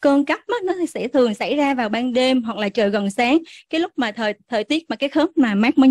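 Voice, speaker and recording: A woman speaks with a high pitch, lively intonation and a fairly quick pace. The sound is dry and close with no echo, over a quiet background. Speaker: physician. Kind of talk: medical lecture. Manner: halting, many filler sounds; formal.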